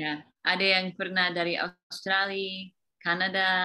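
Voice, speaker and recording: Fairly slow and with an English accent, a woman speaks in a bright, sharp tone. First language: English (speaking Indonesian). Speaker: teacher. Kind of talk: interview. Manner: halting.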